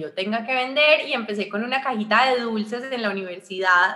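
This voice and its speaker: Amid noticeable background noise, a woman with an Antioquian accent speaks at a fairly quick pace with ordinary pitch variation. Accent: Colombian paisa Spanish. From Colombia, Armenia (Quindío). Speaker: entrepreneur and communicator. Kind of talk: interview. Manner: animated.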